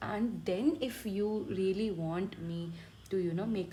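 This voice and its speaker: A woman with an Indian accent speaks in a dark, mellow, somewhat breathy tone. Her ordinary pitch variation carries over audible room echo. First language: Hindi. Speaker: medical student teaching online. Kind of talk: tutorial. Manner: halting.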